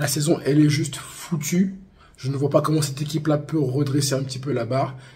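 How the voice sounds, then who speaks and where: Putting on a character voice, a man speaks hoarsely at a fairly quick pace and fairly high pitch with monotone, flat intonation. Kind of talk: casual, informal. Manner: disappointed, exasperated.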